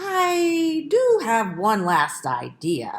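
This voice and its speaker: A woman puts on a character voice. Her pitch sits fairly high. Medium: read story.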